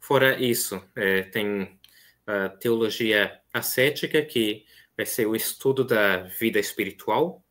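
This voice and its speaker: The setting is quiet. A man talks very slowly, his pitch rising and falling in a normal way. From Brazil, São Paulo city (east zone); São Paulo, Brazil. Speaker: seminarian; guest. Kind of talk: interview conversation. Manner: hesitant, many fillers. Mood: calm, earnest. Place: home room.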